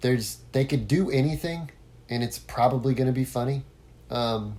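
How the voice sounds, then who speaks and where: A man talks at a moderate pace in a medium-pitched, dark, mellow, somewhat breathy voice with fairly even intonation. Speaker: podcast host, former musician. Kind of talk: solo podcast monologue. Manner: casual, with many fillers and false starts.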